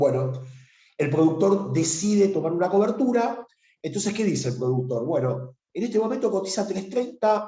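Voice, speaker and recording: A man speaks at a moderate pace with very wide pitch swings. Room echo is audible. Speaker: financial markets instructor. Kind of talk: webinar lecture. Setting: online webinar. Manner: halting with many fillers.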